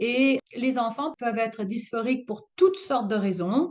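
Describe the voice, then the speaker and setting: The speaker is a woman with a high voice. Her pitch varies in an ordinary way. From Alsace, France. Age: 60s. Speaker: retired union adviser. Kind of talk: interview answer.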